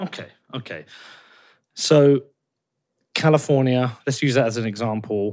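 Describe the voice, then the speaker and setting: On a very clean recording with a silent background, a man with an English accent speaks at a fairly slow pace, his medium pitch showing ordinary variation. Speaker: podcast host. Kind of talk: interview.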